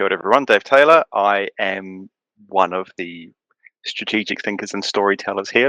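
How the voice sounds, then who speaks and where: Recorded with a dry, close sound and no echo, a man with a New Zealand accent speaks at a moderate pace in a bright, sharp tone. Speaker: writer and content strategist. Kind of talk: casual chat.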